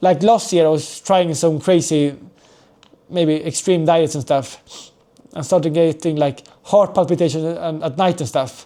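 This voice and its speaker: The voice has a dark, mellow tone, fairly even intonation, and a fairly slow pace. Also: man, fairly high pitch for a man. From Sweden and Spain (moved to Spain at 6). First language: Swedish and Spanish. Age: 20s. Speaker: professional footballer and vlogger. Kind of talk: casual vlog introduction. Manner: hesitant, many fillers.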